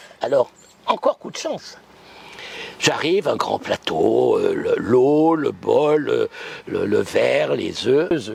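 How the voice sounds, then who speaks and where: Noticeable background noise fills the recording as a man speaks at a very slow pace with long, frequent pauses. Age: 80s+. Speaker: psychic. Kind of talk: interview storytelling. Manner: animated.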